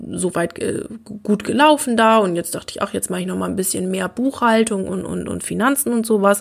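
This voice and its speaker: Using a normal speaking voice at a medium pitch, a woman talks at a fairly quick pace. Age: 20s. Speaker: learning coach and podcast host. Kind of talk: personal storytelling monologue.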